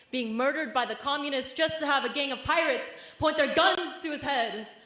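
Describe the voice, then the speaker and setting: With an American accent, a woman talks fairly quickly in a raised, projected voice. Noticeable background noise sits behind her. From Vietnamese American. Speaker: spoken word poet. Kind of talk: spoken word poetry performance. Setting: university stage performance.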